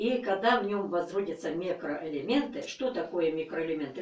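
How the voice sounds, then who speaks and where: The room adds audible echo. Through it, a woman talks. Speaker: gardening channel host. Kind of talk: tutorial. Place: home room. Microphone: camera far.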